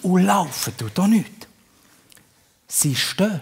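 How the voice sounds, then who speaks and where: A man with a Bernese accent speaks with very wide pitch swings. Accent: Bernese Swiss German. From Bern, Switzerland. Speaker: comedian. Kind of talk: live stage comedy. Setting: live theatre audience.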